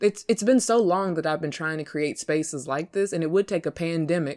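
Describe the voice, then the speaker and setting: In a very clean recording with a silent background, a woman talks at a moderate pace in a relaxed tone. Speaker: podcast host. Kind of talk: casual monologue. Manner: relaxed, unpolished.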